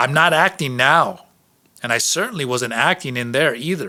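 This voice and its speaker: Putting on a shrill character voice, a man talks at a moderate pace with fairly high pitch. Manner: defensive.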